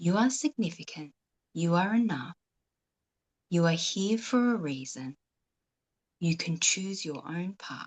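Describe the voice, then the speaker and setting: A woman speaks with a fairly low, somewhat breathy voice and lively intonation. Her delivery is fairly slow with long, frequent pauses, and the sound is dry and close with no echo. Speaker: author. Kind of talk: guided meditation. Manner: soft-spoken.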